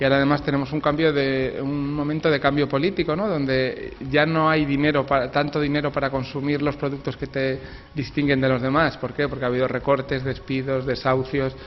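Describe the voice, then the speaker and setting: Over noticeable background noise, a man talks fairly quickly in a fairly high pitch with a monotone, flat delivery. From Spain. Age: 40s. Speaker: author. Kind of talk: interview. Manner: halting.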